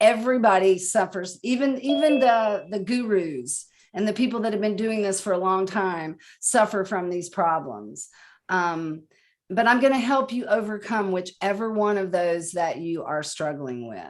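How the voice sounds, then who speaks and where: Woman with a medium-pitched, unremarkable speaking voice, lively intonation and a moderate pace on a very clean recording with a silent background. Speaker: conference speaker. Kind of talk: presentation.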